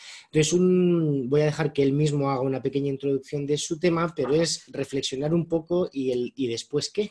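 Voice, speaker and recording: A man with a fairly high, somewhat breathy voice talks at a moderate pace with hardly any pauses and fairly even intonation. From Spain. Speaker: moderator. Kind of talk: introduction of a speaker. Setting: video call.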